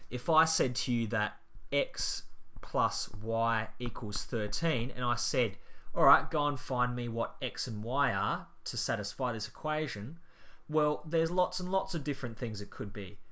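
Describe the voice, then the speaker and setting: A man's medium-pitched voice has a bright, sharp tone and lively intonation. He talks at a fairly slow pace, with audible room echo. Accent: Australian. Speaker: maths teacher. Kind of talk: tutorial.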